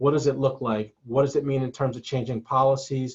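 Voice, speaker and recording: Speaking at a fairly quick pace, a man has a medium pitch. His voice is somewhat breathy. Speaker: collegiate recovery program staff. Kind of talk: webinar presentation. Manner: fast.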